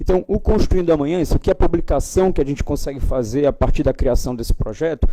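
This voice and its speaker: A man rattles off words at a very fast pace with hardly any pauses, his pitch fairly high. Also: ordinary pitch variation. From Brazil, Ceará (cearense-carioca family). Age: young. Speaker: panel speaker, political institute director. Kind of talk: panel talk. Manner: halting, many fillers.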